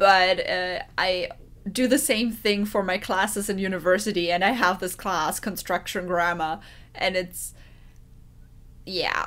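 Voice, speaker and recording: A woman talks with ordinary pitch variation, leaving long, frequent pauses. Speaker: reaction video host. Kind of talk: casual vlog chat. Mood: light, laughing. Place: home room. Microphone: webcam.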